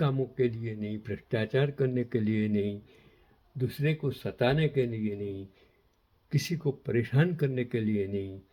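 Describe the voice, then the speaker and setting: Somewhat breathy and dark, mellow in tone, a man speaks at medium pitch with lively intonation. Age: 80s+. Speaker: commentator on history and current affairs. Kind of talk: moral talk to camera; reading aloud.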